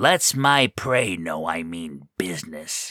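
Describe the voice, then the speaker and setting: A man performs a put-on character voice, gruff and rumbling. His pitch is very deep and low. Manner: gruff, grumbling.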